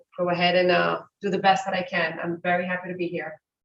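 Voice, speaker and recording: The speaker is a woman with a medium pitch. Her intonation stays monotone and flat. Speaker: police lieutenant. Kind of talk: brief welcome remarks. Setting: city commission chambers. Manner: loud. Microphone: speaking without a microphone.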